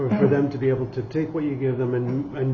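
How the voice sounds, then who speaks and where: A man talks fairly quickly in a flat monotone at medium pitch, with audible room echo and noticeable background noise. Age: young. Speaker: podcast host. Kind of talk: interview. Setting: at guest's home.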